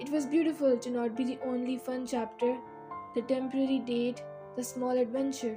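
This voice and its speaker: A woman talks at a moderate pace with a high pitch and ordinary pitch variation while music plays behind her. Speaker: spoken word poet. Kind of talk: poetry reading.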